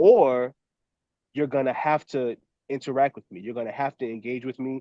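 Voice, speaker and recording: A man talks at a fairly quick pace. His tone is animated. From New Orleans, Louisiana (US Deep South). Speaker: professor and documentary filmmaker. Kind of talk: podcast interview.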